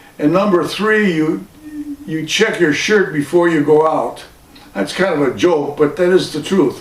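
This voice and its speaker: A man talks at a fairly slow pace in a high voice. His pitch varies in an ordinary way over noticeable background noise. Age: 80s+. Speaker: vlogger. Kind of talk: casual monologue.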